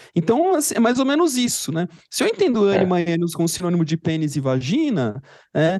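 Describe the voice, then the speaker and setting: Speaking at a fairly quick pace, a man's pitch swings very widely. The sound is dry and close, with no echo. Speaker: psychologist podcast co-host. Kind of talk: casual chat.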